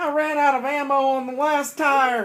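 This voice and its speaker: At a moderate pace, a man puts on a character voice with an extremely high pitch. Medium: read story. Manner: stammering, timid.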